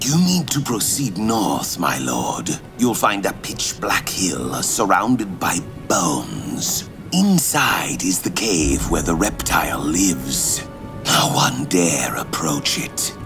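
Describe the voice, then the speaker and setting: Whispering in a put-on character voice, a man speaks at a fairly slow pace over loud background noise. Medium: solo performance. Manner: wary, deferential.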